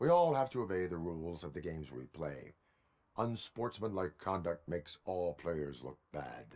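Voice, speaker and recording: A put-on character voice from a man, very deep and low in pitch, at a moderate pace. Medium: video game. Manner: formal, deadpan, no contractions.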